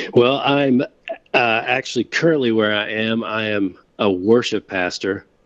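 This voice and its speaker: Using a normal speaking voice, a man with an American accent talks at a fairly slow pace, medium in pitch with ordinary pitch variation. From Winston-Salem, North Carolina. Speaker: pastor. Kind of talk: casual interview chat.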